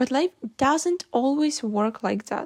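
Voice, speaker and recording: Lively in intonation, a woman with a non-native accent speaks at a fairly slow pace in a dry, close sound with no echo. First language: not English. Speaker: vlogger. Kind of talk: reflective monologue.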